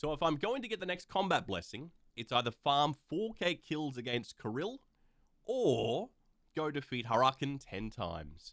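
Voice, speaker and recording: A man with an Australian accent talks at a moderate pace and a fairly high pitch. His voice has vocal fry and very wide pitch swings. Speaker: gaming YouTuber. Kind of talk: gameplay commentary voice-over.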